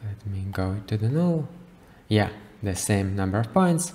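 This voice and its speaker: A man speaks at a fairly slow pace in a fairly low pitch. His voice makes very wide pitch swings. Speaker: creative coding tutorial maker. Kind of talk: software tutorial. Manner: casual, with many fillers and self-corrections.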